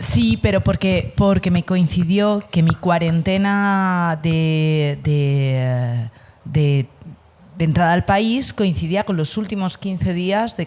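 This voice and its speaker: A woman with a Spanish accent speaks at a very slow pace, her pitch fairly low. Her tone is dark and mellow, with ordinary pitch variation. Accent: Spanish (Spain) accent, noticeable. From Spain, Asturias. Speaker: Spanish teacher, emigrant. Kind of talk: casual interview chat.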